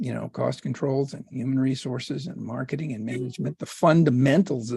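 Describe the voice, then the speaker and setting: A man's medium-pitched voice with vocal fry and a dark, mellow tone, at a moderate pace with ordinary pitch variation. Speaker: restaurant consultant. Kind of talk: interview. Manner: halting.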